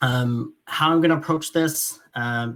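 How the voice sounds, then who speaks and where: A man with a Franco-Ontarian accent talks with ordinary pitch variation. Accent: Franco-Ontarian Canadian English. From northern Ontario, francophone small town. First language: French. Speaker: doctor and surgeon. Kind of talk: keynote lecture. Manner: halting, many fillers.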